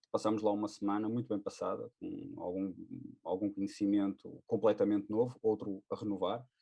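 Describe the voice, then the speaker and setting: A man's fairly low voice in a dark, mellow tone, at a moderate pace with fairly even intonation. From northern Portugal, Porto. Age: 30s. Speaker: air force firefighter, webcast co-host. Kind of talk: casual webcast conversation. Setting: webcast.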